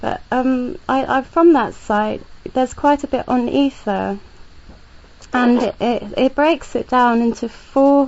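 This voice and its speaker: Noticeable background noise accompanies a woman who talks very slowly. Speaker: podcast host. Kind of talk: interview question.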